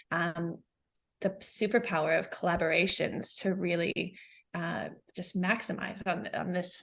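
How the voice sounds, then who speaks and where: A woman's fairly low voice with an American accent, fairly slow and fairly even in intonation. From New Zealand. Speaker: business founder. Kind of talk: podcast interview. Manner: hesitant, many fillers.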